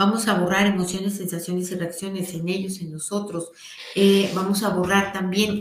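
The speech comes at a fairly slow pace. Audible room echo and noticeable background noise are present. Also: woman. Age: 40s. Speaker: energy healing teacher. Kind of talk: guided healing session; live stream talk. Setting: live stream.

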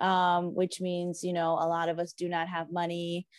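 A woman with an ordinary speaking voice and medium pitch speaks at a fairly slow pace against a quiet background. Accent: American. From South Florida. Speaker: small business owner. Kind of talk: interview.

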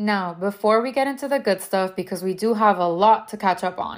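On a very clean recording with a silent background, a woman speaks in a Miami accent at a fairly quick pace, medium pitch, and ordinary pitch variation. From Venezuela and South Florida. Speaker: podcast host. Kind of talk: podcast trailer, scripted intro.

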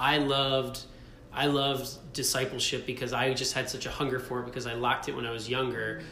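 A man with an American accent talks at a very fast pace in a monotone, flat intonation, his pitch medium. Audible room echo and noticeable background noise surround the recording. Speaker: husband sharing faith testimony. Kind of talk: casual interview testimony. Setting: rented studio space in Brooklyn.

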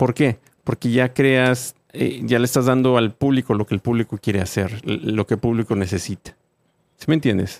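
A man speaks in a normal speaking voice at a medium pitch. He keeps a moderate pace with ordinary pitch variation. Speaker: podcast host. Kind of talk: casual chat.

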